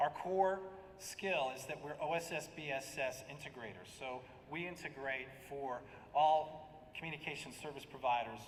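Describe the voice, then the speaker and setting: With audible room echo and noticeable background noise, a man with an American accent speaks in a fairly high pitch with ordinary pitch variation. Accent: American, noticeable to local audience. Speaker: software product director. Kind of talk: conference presentation. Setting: conference stage at podium.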